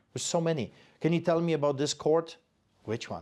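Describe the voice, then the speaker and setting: Fairly quick speech in a Polish accent, on a very clean recording with a silent background. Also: man. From Poland. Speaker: pastor. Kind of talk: interview.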